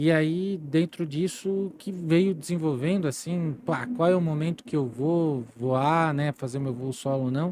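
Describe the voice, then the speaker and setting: A man speaks at a fairly slow pace with hardly any pauses. His fairly high pitch has a dark, mellow tone and ordinary pitch variation. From Santa Catarina, Brazil (Timbó, Vale do Itajaí). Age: 40s. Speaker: entrepreneur and former service club district governor. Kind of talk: interview conversation. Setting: podcast studio.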